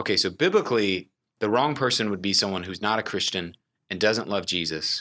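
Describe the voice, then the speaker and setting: With an American accent, a man speaks at a fairly quick pace in a fairly low voice with a bright, sharp tone and ordinary pitch variation. The recording is very clean, with a silent background. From Texas, Houston. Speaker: young adult ministry director. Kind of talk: casual interview.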